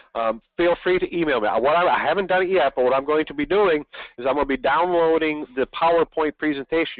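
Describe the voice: A man talks at a fast pace, and the sound is dry and close with no echo.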